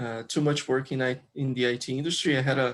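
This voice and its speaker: The recording is very clean, with a silent background. A man speaks fairly slowly at a fairly high pitch with fairly even intonation. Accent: Brazilian. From Brazil, Rio de Janeiro. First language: Portuguese. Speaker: software developer and crypto community member. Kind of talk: interview. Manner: halting, many fillers.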